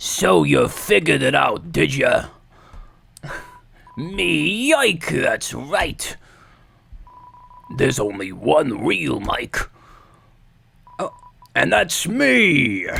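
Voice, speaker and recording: A raspy, put-on character voice with a smug tone sits at a low-to-middle pitch. It moves at a very slow pace, broken by long, frequent pauses. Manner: boastful, smug.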